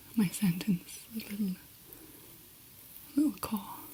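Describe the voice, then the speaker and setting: The whispering, soft-spoken speaker moves at a very slow pace. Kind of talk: ASMR roleplay. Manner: whispered, soft-spoken.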